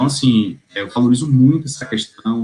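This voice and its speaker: This man's voice is somewhat breathy. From Bahia, Brazil. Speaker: tax lawyer. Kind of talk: interview answer. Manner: cheerful, laughs easily.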